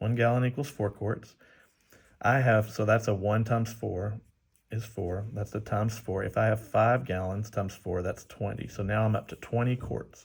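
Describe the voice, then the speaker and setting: On a very clean recording with a silent background, a man with a fairly low, somewhat breathy voice speaks at a moderate pace in a monotone, flat intonation. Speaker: math teacher. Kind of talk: tutorial. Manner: casual, halting.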